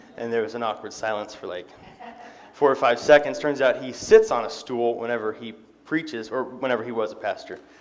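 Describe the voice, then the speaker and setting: Audible room echo around a man at a medium pitch, fairly quick pace, ordinary pitch variation and big swings in loudness. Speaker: lay preacher. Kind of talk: sermon. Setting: church. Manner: fast; casual, frequent fillers.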